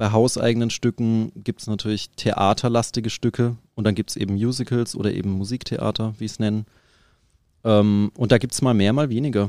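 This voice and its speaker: In a very clean recording with a silent background and a dry, close sound with no echo, a man with a medium pitch and a dark, mellow tone talks at a fairly quick pace. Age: 30s. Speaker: professional drummer. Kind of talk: interview.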